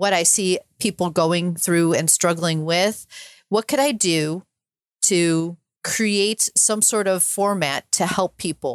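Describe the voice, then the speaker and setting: In a very clean, dry, close recording with a silent background and no echo, a woman speaks very slowly at a fairly low pitch with fairly even intonation. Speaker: podcaster and sailor, cancer survivor. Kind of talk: interview conversation.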